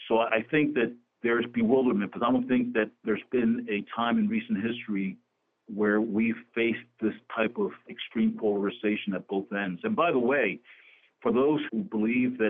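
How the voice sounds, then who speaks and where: A man with an American accent has a plain, everyday voice, medium pitch, ordinary pitch variation and a moderate pace. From New Jersey (Camden). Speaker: real estate executive, former state official. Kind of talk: radio interview.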